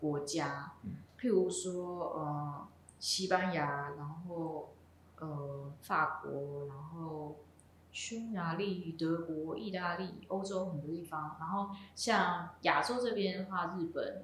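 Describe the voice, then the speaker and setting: With audible room echo and noticeable background noise, a woman speaks at a very slow pace and a fairly low pitch with ordinary pitch variation. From Taiwan, Miaoli, Hakka family. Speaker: jazz vibraphonist. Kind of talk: casual interview. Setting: coffee shop in Taichung. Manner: hesitant, many fillers.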